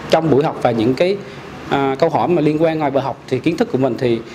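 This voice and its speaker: A man's voice, with ordinary pitch variation, comes through over light background noise. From Vietnam, Central Highlands (Pleiku, Gia Lai); Vietnam. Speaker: clothing shop owner, course student. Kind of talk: testimonial. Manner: halting, many fillers. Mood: grateful, calm. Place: home room.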